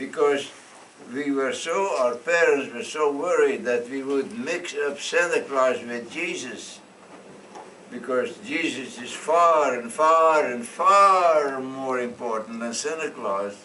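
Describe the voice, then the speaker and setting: With a Dutch accent, a man speaks at a very slow pace in a fairly high pitch and lively intonation, amid noticeable background noise and audible room echo. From Netherlands. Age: 90s. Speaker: storyteller. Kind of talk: storytelling to children. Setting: classroom.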